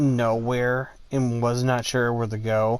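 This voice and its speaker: A man talks very slowly in a monotone, flat intonation at a medium pitch. The recording is very clean, with a silent background. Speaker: gaming YouTuber. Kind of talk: gameplay commentary. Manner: flat, low energy.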